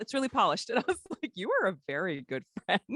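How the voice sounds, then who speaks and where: An animated woman with an American accent speaks fairly quickly at a fairly high pitch, her voice showing vocal fry and very wide pitch swings, captured with a dry, close sound and no echo. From Texas. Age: 30s. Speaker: actress. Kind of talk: casual chat.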